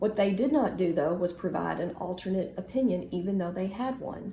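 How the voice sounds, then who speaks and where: Talking at a fairly quick pace, a woman uses vocal fry and a dark, mellow tone with ordinary pitch variation. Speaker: organization member and advocate. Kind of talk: casual talk to camera.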